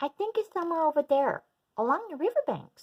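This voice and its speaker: In a put-on character voice, a woman talks very fast, extremely high-pitched and squeaky. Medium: read story. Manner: friendly, reassuring.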